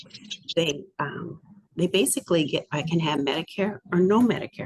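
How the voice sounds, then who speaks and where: Recorded with a dry, close sound and no echo, a woman speaks in a fairly low pitch. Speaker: state program coordinator. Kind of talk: webinar presentation. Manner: fast; halting, self-correcting.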